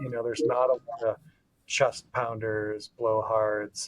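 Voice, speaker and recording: A man with an American accent at a moderate pace, in dry, close sound with no echo. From Wisconsin, US Midwest. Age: 30s. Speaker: venture law attorney. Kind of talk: casual podcast conversation.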